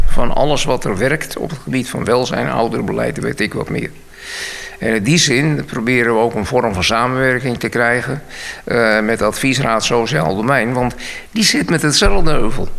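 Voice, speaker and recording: A man at a medium pitch speaks with lively intonation against noticeable background noise. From Bussum, Netherlands. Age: 70s. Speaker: senior council chairman. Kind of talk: radio interview. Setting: studio.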